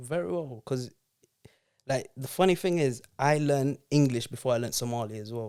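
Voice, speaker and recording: The tone is dark and mellow. The pace is moderate, with ordinary pitch variation. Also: man, medium pitch for a man. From Zambia. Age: young. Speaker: podcast guest. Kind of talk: casual chat. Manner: animated.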